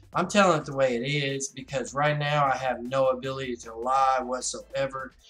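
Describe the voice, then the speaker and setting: A man's voice at a moderate pace, with fairly even intonation, big swings in loudness, and music in the background. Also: medium pitch for a man. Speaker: gaming streamer. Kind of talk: casual live stream talk.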